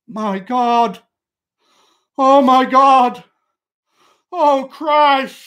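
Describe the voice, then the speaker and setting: In a very clean recording with a silent background, a high, shaky, put-on character voice is raised and projected. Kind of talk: dramatic story reading. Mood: anguished, horrified outcry.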